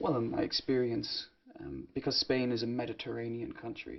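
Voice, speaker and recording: The voice carries a slight Irish accent and moves at a moderate pace. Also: man. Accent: slight Irish, often taken for English. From Ireland. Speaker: English teacher. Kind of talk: conversation practice. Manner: loud; expressive.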